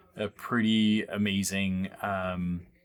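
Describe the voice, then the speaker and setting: A soft-spoken man talks in a fairly low pitch. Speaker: podcast host. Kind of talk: casual podcast intro. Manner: hesitant, filler-heavy; soft, quiet voice in the recorded episode.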